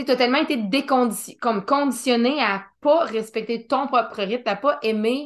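In a Quebec accent, a woman with a high pitch talks at a moderate pace, her pitch varying in an ordinary way. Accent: Québécois French. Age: 30s. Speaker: podcast host. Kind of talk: casual interview chat.

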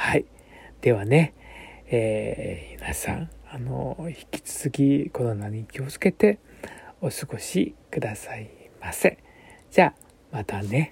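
Speaking at a very slow pace, a man with a medium-pitched voice and vocal fry uses lively intonation and big swings in loudness. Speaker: bunraku puppeteer. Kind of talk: radio monologue. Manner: hesitant, many fillers.

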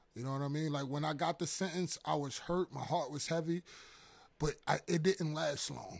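A man speaks with a New York accent at a fairly high pitch, his intonation fairly even. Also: moderate pace. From Harlem, New York. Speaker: guest sharing testimony. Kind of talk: testimony. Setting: church office.

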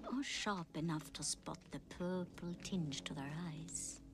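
Someone speaks rather slowly while music runs underneath. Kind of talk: fairy-tale horror narration. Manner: hushed, eerie storyteller's warning tone; slow, deliberate and ominous.

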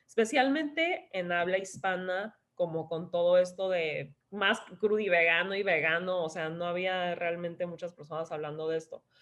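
With ordinary pitch variation, a woman talks at a medium pitch and a moderate pace. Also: hardly any pauses. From Tijuana, Mexico, raised in San Diego. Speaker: wellness influencer and health coach. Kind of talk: casual interview.

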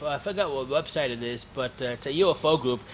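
A man's fairly high voice in an Ontario accent. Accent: Canadian (Ontario). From Hamilton, Ontario, Canada. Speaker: actor and film producer. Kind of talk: casual interview chat.

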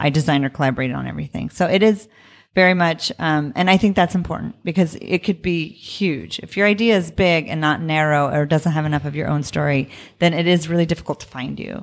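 On a very clean recording with a silent background, a woman talks at a very fast pace in a very deep, low pitch with ordinary pitch variation. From Tucson, Arizona (Mexican-American). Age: 40s. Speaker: fashion designer and business owner. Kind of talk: interview.

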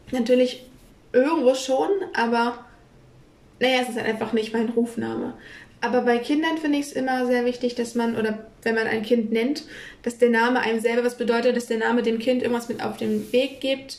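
A woman with a high pitch and fairly even intonation speaks at a fairly quick pace, with long, frequent pauses and noticeable background noise. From northern Germany, Kiel. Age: 20s. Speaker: podcast co-host. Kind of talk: casual chat.

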